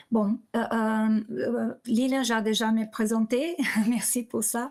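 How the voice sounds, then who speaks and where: The speaker is a woman. Her pitch is fairly high. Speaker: corporate lawyer. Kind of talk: webinar presentation. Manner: halting, many repetitions and fillers.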